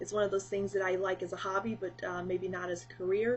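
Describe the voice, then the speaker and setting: Her intonation is lively. The woman's pitch is medium. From US South, South Carolina. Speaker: beauty and lifestyle vlogger. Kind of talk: casual chat. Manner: hesitant, many fillers.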